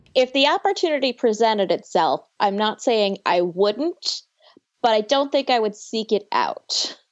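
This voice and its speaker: This is an ordinary speaking voice from a woman with fairly high pitch. She talks at a fairly slow pace with lively intonation. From US Northeast (New York, Buffalo). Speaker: podcast host (guest). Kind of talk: casual chat.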